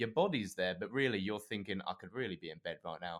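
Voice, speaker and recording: In a very clean recording with a silent background, a man with an English accent speaks at a fairly low pitch with lively intonation. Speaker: podcast co-host. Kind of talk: casual chat.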